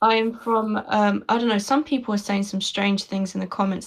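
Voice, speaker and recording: A woman speaks with a London accent at a medium pitch. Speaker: conversation partner. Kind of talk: casual chat.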